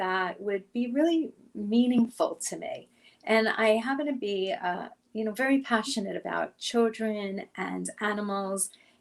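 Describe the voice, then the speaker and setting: With an American accent, the woman speaks at a fairly high pitch and ordinary pitch variation. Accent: Brooklyn accent, stronger when emphatic. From New York, Brooklyn. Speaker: career coach. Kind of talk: interview.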